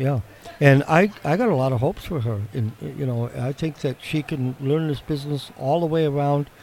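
Noticeable background noise sits behind a man with an American accent. He talks at a moderate pace with a fairly high pitch and ordinary pitch variation. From Wisconsin. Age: 60s. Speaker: shed builder. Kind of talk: casual interview chat. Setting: live at home and garden show.

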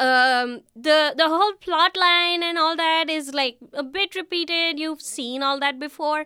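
Extremely high-pitched, a woman speaks at a fairly slow pace with ordinary pitch variation. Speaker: graduate student. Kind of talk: casual chat. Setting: studio.

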